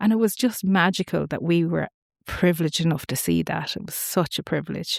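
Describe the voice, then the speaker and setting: On a very clean recording with a silent background and a dry, close sound with no echo, a woman speaks fairly quickly in a fairly low pitch with vocal fry, big swings in loudness and ordinary pitch variation. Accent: Irish. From Ireland, Wicklow then Boyle, Co. Roscommon. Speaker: family constellations facilitator. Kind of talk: podcast interview.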